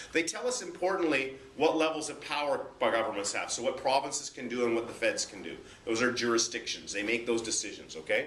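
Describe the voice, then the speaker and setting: Talking at a very fast pace, a man speaks with a Canadian accent. There is audible room echo and noticeable background noise. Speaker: high school social studies teacher. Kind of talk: classroom lecture.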